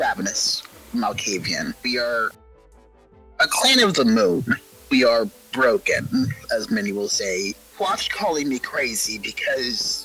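A put-on character voice at a middle pitch plays over faint music in the background. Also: fairly slow pace. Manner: casual, rambling, then menacing.

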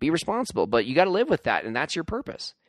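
A man speaks at a fast pace. His pitch swings widely.

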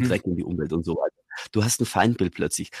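An unremarkable speaking voice with lively intonation and a dry, close, echo-free sound. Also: man. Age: 40s. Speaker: radio presenter and communication coach. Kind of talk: casual chat. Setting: video call.

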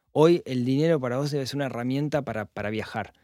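In a plain, everyday voice, a man talks at a medium pitch on a very clean recording with a silent background. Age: 40s. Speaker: personal finance podcaster. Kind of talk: casual interview chat.

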